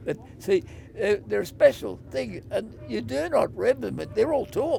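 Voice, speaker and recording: Someone with an Australian accent speaks at a moderate pace. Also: man. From Wangaratta, Victoria, Australia. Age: 80s+. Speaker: retired motorcycle road racer. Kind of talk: interview answer.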